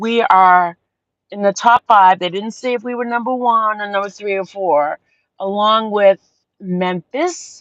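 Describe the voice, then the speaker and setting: With a Boston accent, a woman talks at a fairly slow pace in an animated tone. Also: medium pitch for a woman, ordinary pitch variation. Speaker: livestream host. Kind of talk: casual chat. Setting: outdoors at sunset. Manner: rambling, animated.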